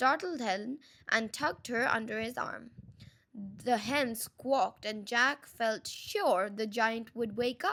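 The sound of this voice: The reading voice is unforced. Pitch moves in an ordinary range of variation.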